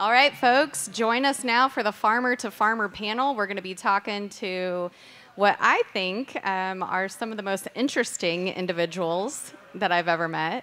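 Her pitch varies in an ordinary way as the woman talks at a moderate pace. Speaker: panel moderator. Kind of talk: event announcements and introductions. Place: hall. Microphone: podium.

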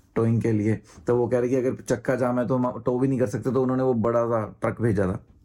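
A man speaks at a fairly quick pace with a medium pitch. His tone is dark and mellow. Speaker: travel vlogger. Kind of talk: casual vlog talk to camera.

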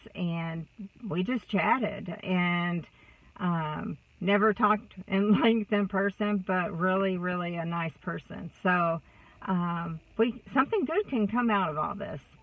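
A woman with a Texas accent talks at a very slow pace in a somewhat breathy voice. Her pitch varies in an ordinary way, and the sound is dry with no echo. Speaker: vlogger. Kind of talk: casual vlog monologue. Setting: in a car. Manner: chatty, warm. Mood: warm, upbeat, encouraging. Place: car. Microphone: phone near.

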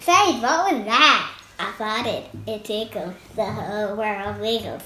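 Woman's put-on character voice, fairly high and fairly slow. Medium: comedy sketch.

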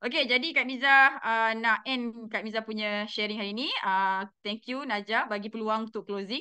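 Against a quiet background, a woman with a Malaysian accent speaks fairly slowly in a fairly high pitch with fairly even intonation. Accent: Malaysian Malay. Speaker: direct sales manager. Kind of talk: motivational talk. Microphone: video call.

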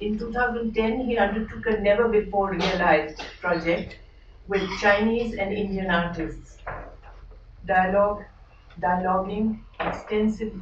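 Through noticeable background noise, a woman speaks at a fairly slow pace with fairly even intonation. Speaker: speaker. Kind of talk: formal introduction. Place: hall.

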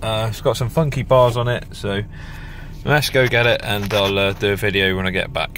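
Speech comes at a moderate pace with fairly even intonation against clear background noise. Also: man, fairly low pitch for a man.

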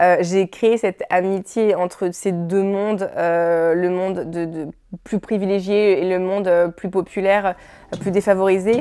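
Against a quiet background, a woman speaks at a fairly slow pace with a dark, mellow tone, medium pitch and monotone, flat intonation. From France. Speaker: film director. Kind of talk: interview. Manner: halting. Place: studio. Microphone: lapel.

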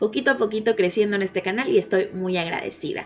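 The pace is fairly quick. The speaker is a woman. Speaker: news channel host. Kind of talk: casual news commentary.

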